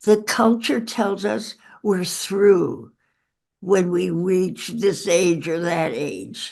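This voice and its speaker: A woman speaks very slowly at a medium pitch, with vocal fry and ordinary pitch variation. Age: 80s+. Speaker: author. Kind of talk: interview.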